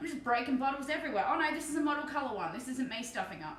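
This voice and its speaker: A woman with an Australian accent speaks at a high pitch with ordinary pitch variation. Audible room echo surrounds her voice. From Australia, Victoria (Bendigo). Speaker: streamer and miniature painter. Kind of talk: casual live stream chat. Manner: relaxed, chatty.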